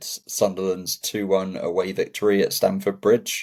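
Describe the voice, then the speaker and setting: A man with an English accent. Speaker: football podcast co-host. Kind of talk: casual chat.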